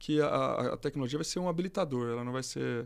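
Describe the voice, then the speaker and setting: The man has an unremarkable speaking voice at a medium pitch. He talks at a fairly quick pace on a very clean recording with a silent background. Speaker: electrical engineer and executive. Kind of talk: casual interview.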